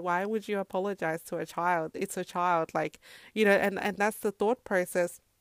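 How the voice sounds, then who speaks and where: The sound is dry and close with no echo on a very clean recording with a silent background, as the speaker talks at a moderate pace in an Australian accent. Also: woman. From Zimbabwe, then Australia from age 10. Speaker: podcast host and mother. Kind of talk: solo podcast monologue. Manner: casual, many fillers.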